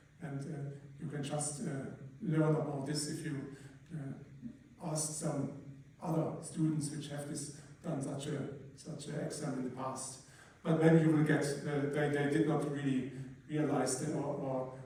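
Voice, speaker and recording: A man's fairly high voice in a flat monotone, with noticeable background noise and audible room echo. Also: fairly slow pace. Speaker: university lecturer. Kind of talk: lecture. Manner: halting. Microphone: poor sound quality.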